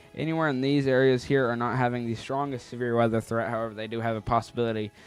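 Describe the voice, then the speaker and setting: Music plays behind a man speaking at a very fast pace. His pitch is medium, his intonation fairly even. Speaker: weather livestream host. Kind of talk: live weather coverage. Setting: live stream. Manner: loud.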